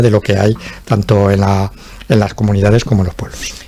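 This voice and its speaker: Somewhat breathy and dark, mellow in tone, at a fairly quick pace. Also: man. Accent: Aragonese. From Aragón, Spain. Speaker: local politician. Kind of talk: political talk show debate. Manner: halting, many repetitions and fillers.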